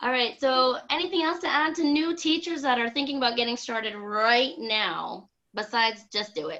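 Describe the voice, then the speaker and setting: Loud and bright with a sharp tone, a woman speaks at a moderate pace in a high pitch with lively intonation and hardly any pauses. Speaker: online English teacher, video chat host. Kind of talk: casual group video chat. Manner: loud, boisterous.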